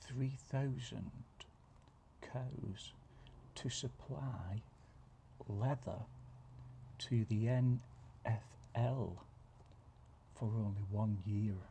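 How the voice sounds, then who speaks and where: Soft-spoken and somewhat breathy, a man talks at a very slow pace with long, frequent pauses, a relaxed, dark, mellow tone and fairly even intonation. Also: medium pitch for a man. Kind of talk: ASMR soft-spoken reading of random facts. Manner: soft-spoken, relaxed.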